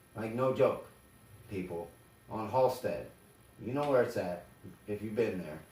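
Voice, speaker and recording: With an American accent, a man speaks at a moderate pace and medium pitch, somewhat breathy, with ordinary pitch variation, long, frequent pauses and audible room echo. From Chicago area. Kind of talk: casual chat.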